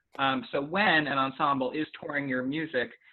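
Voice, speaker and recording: This is a man speaking at a medium pitch. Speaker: flutist and ensemble director giving a guest lecture. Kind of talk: lecture over video call. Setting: video call. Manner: fast.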